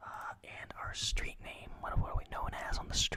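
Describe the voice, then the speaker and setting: Amid noticeable background noise, a whispering voice moves at a fairly slow pace. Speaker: ASMR gaming commentator. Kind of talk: casual gameplay commentary. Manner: soft-spoken, whispered.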